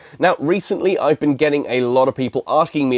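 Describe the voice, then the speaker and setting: A man with a British accent talks at a very fast pace in a fairly high pitch. His intonation is lively, and the sound is dry and close with no echo. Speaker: gaming YouTuber. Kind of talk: video commentary.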